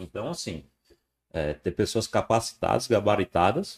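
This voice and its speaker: A man with a somewhat breathy voice is heard on a very clean recording against a silent background. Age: 30s. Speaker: former football club executive. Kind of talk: casual interview.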